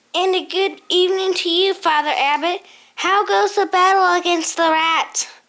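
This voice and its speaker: A woman performs a put-on character voice at an extremely high pitch. Her pace is moderate. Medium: read story. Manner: wry, knowing.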